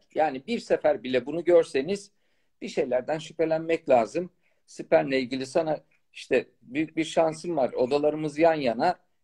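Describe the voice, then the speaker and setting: A man speaks at a moderate pace in a dark, mellow tone, his pitch fairly high for a man with ordinary pitch variation, over a quiet background. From Turkey, Malatya; Turkey. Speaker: fertility doctor. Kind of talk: live-stream Q&A chat. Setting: live video stream. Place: home room. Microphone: phone near.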